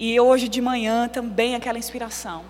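Amid noticeable background noise and audible room echo, a woman speaks with a high pitch at a fairly quick pace. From São Paulo, Brazil. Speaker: preacher. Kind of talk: sermon. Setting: church. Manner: animated.

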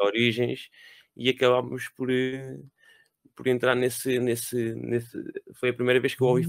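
A man talks at a moderate pace with medium pitch and monotone, flat intonation. Long, frequent pauses break up his speech, and the sound is dry and close with no echo. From Lisbon, Portugal. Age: 30s. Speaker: podcast co-host. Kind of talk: casual chat.

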